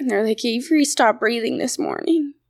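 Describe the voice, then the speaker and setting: A woman speaks with a fairly high pitch, lively intonation and vocal fry, on a very clean recording with a silent background. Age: 20s. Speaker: young person in addiction recovery. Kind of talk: personal story interview. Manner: hesitant, many fillers.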